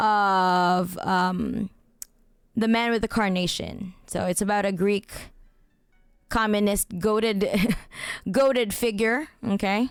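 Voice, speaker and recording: With music in the background, a woman speaks at a very slow pace with long, frequent pauses, very even loudness and fairly even intonation. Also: medium pitch for a woman. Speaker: streamer. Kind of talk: casual chat. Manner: halting, repeats words.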